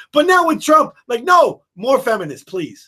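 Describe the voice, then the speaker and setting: The speaker is a man. He talks at a moderate pace. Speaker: political commentary podcast co-host. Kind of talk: casual chat. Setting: live online video stream. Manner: loud; constant single volume.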